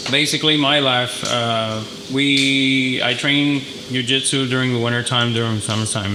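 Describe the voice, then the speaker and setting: Delivered at a moderate pace with fairly even intonation, the speech carries a slight Mexican accent amid audible room echo and noticeable background noise. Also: man. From northern Mexico, moved to El Paso at 16. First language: Spanish. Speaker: HVAC business owner. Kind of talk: business presentation. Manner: halting, many fillers.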